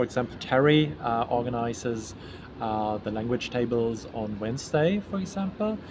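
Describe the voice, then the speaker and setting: There is noticeable background noise behind this man. His pitch is medium and his intonation is lively. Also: moderate pace. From Germany. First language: German. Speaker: event organizer. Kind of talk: interview. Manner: halting.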